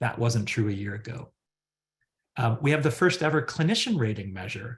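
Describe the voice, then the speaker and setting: Against a quiet background, a man speaks at a fairly quick pace in a somewhat breathy voice. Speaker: psychologist and research center director. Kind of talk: webinar presentation. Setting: online webinar. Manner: fast.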